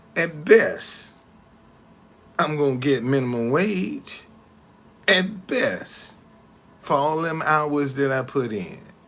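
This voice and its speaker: Delivered at a very slow pace with long, frequent pauses, the lively intonation carries audible room echo. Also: man, fairly high pitch for a man. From Alabama, US South. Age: 60s. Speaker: tour guide and business owner. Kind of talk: casual livestream monologue. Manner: halting, repetitive.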